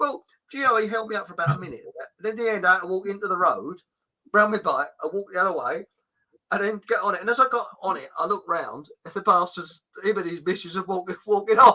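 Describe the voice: A man talks at a fast pace with a high pitch and a bright, sharp tone. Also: ordinary pitch variation.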